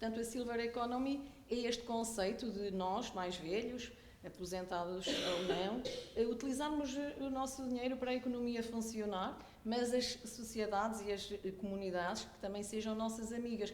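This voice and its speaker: Through audible room echo and noticeable background noise, a woman with a fairly high voice talks at a moderate pace with ordinary pitch variation. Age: 60s. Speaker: audience member, polytechnic academic. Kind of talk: audience comment in workshop.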